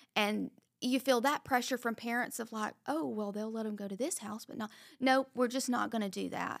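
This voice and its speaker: In a very clean recording with a silent background, a woman has an ordinary speaking voice and ordinary pitch variation. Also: fairly high pitch for a woman, moderate pace. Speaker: parent and panelist. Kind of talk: casual panel discussion.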